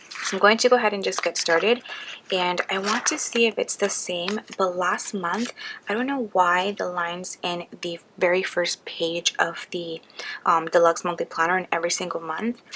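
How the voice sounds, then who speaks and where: Moderate pace and ordinary pitch variation, with noticeable background noise. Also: woman, medium pitch for a woman. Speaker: budget planning vlogger. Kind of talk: tutorial. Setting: at home late at night. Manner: soft-spoken.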